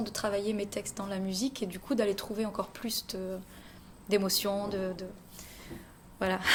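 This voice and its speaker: Noticeable background noise is audible throughout. A woman speaks over it at a moderate pace. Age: 30s. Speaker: singer. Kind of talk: interview. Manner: hesitant.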